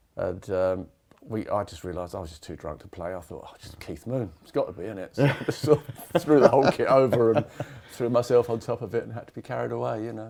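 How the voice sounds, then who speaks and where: A man with an English accent speaks at a very fast pace, his loudness swinging widely. His pitch is medium and his intonation lively. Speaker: rock drummer. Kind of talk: casual interview.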